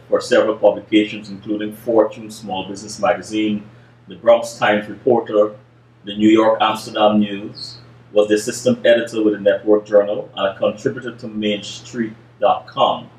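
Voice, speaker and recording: With audible room echo, a man speaks at a moderate pace in a fairly low, monotone voice. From Guyana. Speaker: interviewer. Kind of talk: interview. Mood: calm, thoughtful. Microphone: webcam.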